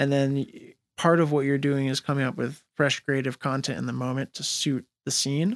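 A man with a fairly high pitch speaks at a moderate pace with fairly even intonation, in an unremarkable speaking voice. The sound is dry and close, with no echo. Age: 30s. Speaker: hip-hop radio host. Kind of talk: casual interview.

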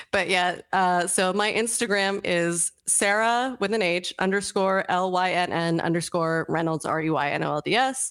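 A woman talks in an unremarkable speaking voice at medium pitch and a moderate pace. Her loudness stays very even, her pitch varies in an ordinary way, and she leaves hardly any pauses. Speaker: toy sculptor. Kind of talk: casual interview. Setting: video call.

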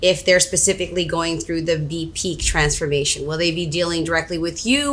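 Against noticeable background noise, a woman with a fairly low voice talks at a fairly quick pace. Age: 40s. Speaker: matchmaker. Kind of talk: casual health chat on a live stream. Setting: Facebook Live video stream.

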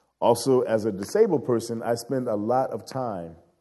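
With an American accent, a man speaks at a fairly slow pace in a dark, mellow tone, his pitch varying in an ordinary way. Room echo is audible. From Chicago South Side. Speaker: guest preacher and anti-racism organizer. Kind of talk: sermon.

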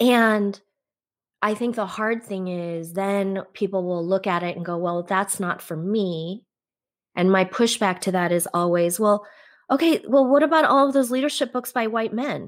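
In a normal speaking voice, a woman speaks with a General American accent at medium pitch and a moderate pace. Her intonation is lively, and the recording is very clean with a silent background. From US, Korean-born, raised in America from infancy. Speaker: author and yoga instructor. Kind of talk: casual interview. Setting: live video stream.

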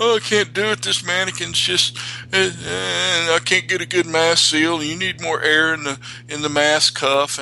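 Using a put-on character voice, a man whines in a fairly high pitch at a fairly slow pace, his tone whiny, with clear background noise. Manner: whiny, complaining.

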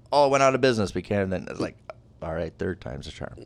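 A man talks at a very fast pace with vocal fry and very wide pitch swings. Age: 40s. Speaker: podcast host. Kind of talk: casual chat.

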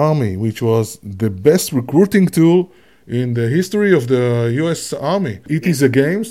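A man in an Israeli accent has a dark, mellow tone and a fairly high pitch. His pitch swings are very wide. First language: Hebrew. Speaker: podcast host and gamification researcher. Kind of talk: casual chat. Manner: animated.

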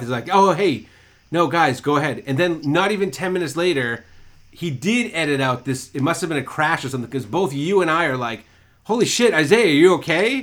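With an American accent, a man in a plain, everyday voice talks at a fairly quick pace, fairly high pitch and lively intonation. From Massachusetts. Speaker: podcast co-host. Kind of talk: casual chat.

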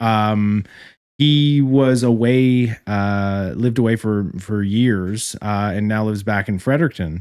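This is a man with an ordinary speaking voice, fairly low in pitch with ordinary variation. He talks at a fairly slow pace in a very clean recording with a silent background. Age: 30s. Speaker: credit union branch manager. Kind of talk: casual chat.

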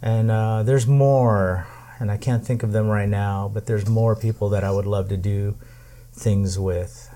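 Using fairly even intonation, a man talks at a moderate pace with a fairly low pitch and a dark, mellow tone. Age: 50s. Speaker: podcast host. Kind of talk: casual chat. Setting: home tiki bar.

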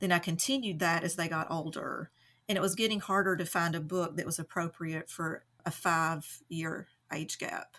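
This very clean recording has a silent background. A woman with a fairly low pitch and a bright, sharp tone speaks at a moderate pace. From Eastern Kentucky (Hindman, Knott County). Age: 40s. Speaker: stay-at-home mom, book lover. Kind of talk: casual interview chat.

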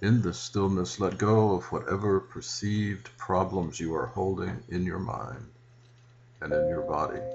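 Over music in the background, a man with a very deep, low pitch and a gentle tone talks at a fairly slow pace with ordinary pitch variation. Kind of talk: guided meditation, calm spiritual instruction with invitations to breathe and visualize. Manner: slow, deliberate, soothing, with pauses; gentle, reverent, prayer-like.

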